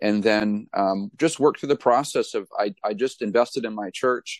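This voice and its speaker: Against a quiet background, a man with a New England accent speaks at a medium pitch and a moderate pace. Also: dry, close sound with no echo. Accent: New England American. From New Hampshire. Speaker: pastor and author. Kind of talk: interview.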